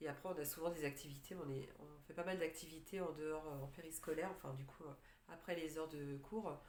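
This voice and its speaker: A woman's very deep, low voice moving at a fairly quick pace. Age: 40s. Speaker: life coach for separated mothers. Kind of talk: casual talk to camera. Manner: hesitant, many filler words.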